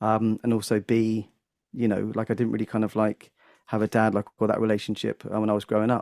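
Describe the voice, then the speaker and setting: A man's dark, mellow voice at a fairly quick pace, dry and close with no echo. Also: very clean recording, silent background. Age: 40s. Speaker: comedian and music teacher. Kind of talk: casual podcast conversation. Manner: halting with frequent fillers.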